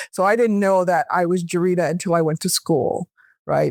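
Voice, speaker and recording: Fairly quick speech in a Californian accent. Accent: American, California. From US, Los Angeles. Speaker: academic researcher. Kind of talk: podcast interview. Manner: conversational.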